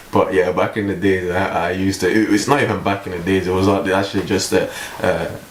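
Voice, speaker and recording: Over noticeable background noise and audible room echo, a man with a very deep, low pitch talks at a fairly quick pace. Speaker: vlogger. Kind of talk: casual vlog monologue. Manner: halting, many fillers and repeats; calm, not overly upbeat.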